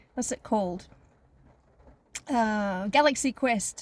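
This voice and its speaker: Ordinary pitch variation marks this woman's voice. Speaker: life coach. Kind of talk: casual vlog monologue. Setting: in a car. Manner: halting.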